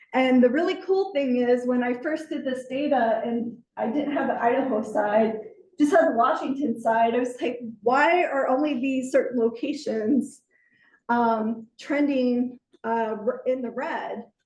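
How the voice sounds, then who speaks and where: A woman speaks in a high voice at a fairly slow pace, with ordinary pitch variation. Room echo is audible, and music plays in the background. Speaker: environmental manager presenting to a class. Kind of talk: lecture.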